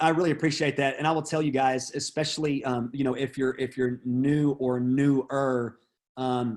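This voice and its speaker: On a very clean recording with a silent background, a man with an unremarkable speaking voice talks at medium pitch with fairly even intonation. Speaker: real estate trainer. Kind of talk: training session.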